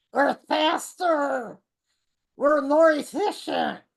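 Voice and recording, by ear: Using a put-on character voice pitched high, a woman delivers her words very slowly.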